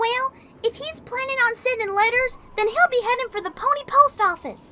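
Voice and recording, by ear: A female-sounding, put-on character voice at an extremely high pitch. It moves at a moderate pace.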